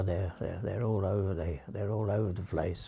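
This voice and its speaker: A man's dark, mellow tone, somewhat breathy, over a quiet background. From England. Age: 80s+. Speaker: author. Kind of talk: interview answer. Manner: hesitant, halting. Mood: tender, grieving, hesitant. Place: home room.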